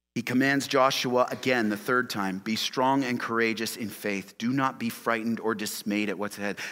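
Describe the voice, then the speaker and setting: A man's bright, sharp tone at a medium pitch, moderate pace and hardly any pauses. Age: 40s. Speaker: pastor. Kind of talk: sermon. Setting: church. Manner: animated.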